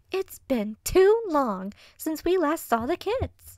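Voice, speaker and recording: A put-on, squeaky character voice that sounds female, pitched extremely high with very wide swings, bubbly and excited in tone at a fairly slow pace. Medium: read story. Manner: bubbly, excited.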